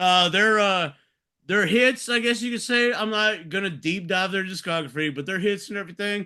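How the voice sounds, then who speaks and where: A man with a Texas accent speaks in a raised, projected voice at a moderate pace, high in pitch with a bright, sharp tone. His pitch varies in an ordinary way over a quiet background. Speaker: podcast host. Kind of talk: casual chat.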